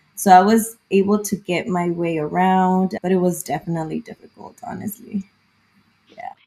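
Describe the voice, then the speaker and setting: Speaking at a moderate pace with a Spanish accent, a woman with a medium-pitched voice keeps her intonation fairly even while her loudness swings widely. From southern California, early childhood in Mexico. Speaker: therapist. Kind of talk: casual interview.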